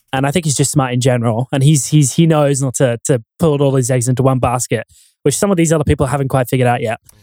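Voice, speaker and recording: In an Australian accent, a man speaks very fast at a medium pitch with fairly even intonation. His tone is dark and mellow, and the sound is dry and close with no echo. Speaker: YouTube commentator and audio expert. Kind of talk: casual chat.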